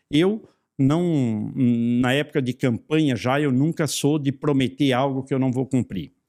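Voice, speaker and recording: A man talks at a fairly slow pace with a fairly high pitch. The recording is very clean, with a silent background. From Santa Catarina, southern Brazil. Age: 60s. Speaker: federal congressman. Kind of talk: interview. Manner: hesitant, with repetitions.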